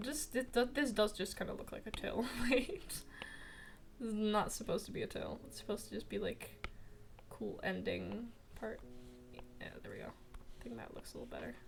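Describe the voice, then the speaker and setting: Whispering at a moderate pace, a woman leaves long, frequent pauses, and her loudness swings widely. Music plays behind her. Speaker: streamer and artist. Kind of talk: casual live-stream chat while drawing. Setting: live stream. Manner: quiet, focused.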